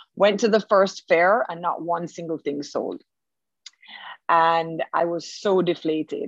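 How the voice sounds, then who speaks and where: A woman with a normal speaking voice talks at a fairly slow pace, her fairly low pitch carrying fairly even intonation. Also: dry, close sound with no echo. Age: 40s. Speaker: furniture maker and business owner. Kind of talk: interview.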